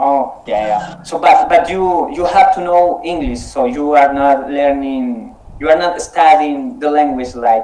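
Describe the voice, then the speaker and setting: In a Spanish accent, the speaker talks at a fairly slow pace with very wide pitch swings, over noticeable background noise and audible room echo. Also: man. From Colombia. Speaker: English conversation club leader. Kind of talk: casual online conversation practice. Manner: halting, repeats words.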